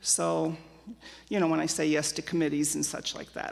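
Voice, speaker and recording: A woman with an American accent speaks at a moderate pace in a very deep, low voice with vocal fry and monotone, flat intonation. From Germany, emigrated to US at age 5. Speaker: church member sharing life story. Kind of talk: interview testimony. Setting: church with live audience. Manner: loud.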